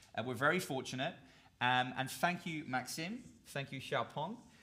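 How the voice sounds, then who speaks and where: Noticeable background noise fills the clip. A man talks at a moderate pace, his pitch varying in an ordinary way. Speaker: event host. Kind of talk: live event presentation. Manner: animated.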